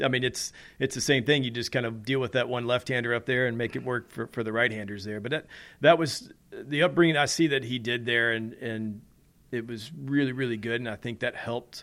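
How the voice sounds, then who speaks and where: In an ordinary speaking voice, a man with an American accent talks at a fairly quick pace and medium pitch with fairly even intonation, on a very clean recording with a silent background. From US South, Nashville. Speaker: racing driver. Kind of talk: interview. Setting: at home.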